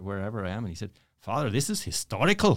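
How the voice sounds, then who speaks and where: A man with an Irish accent talks at a fairly quick pace with very wide pitch swings. The recording is very clean, with a silent background. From Ireland, Dublin. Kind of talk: interview storytelling. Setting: studio.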